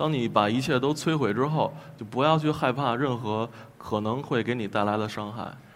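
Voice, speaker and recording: With music in the background, a man speaks at a medium pitch and a moderate pace, his pitch varying an ordinary amount. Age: 20s. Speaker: folk singer-songwriter. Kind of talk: panel discussion.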